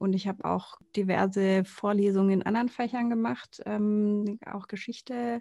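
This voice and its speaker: Dark and mellow in tone, a woman speaks at a fairly slow pace with hardly any pauses and fairly even intonation. The sound is dry and close, with no echo. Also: medium pitch for a woman. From Konstanz, southern Germany (Lake Constance). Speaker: podcast co-host. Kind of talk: casual chat.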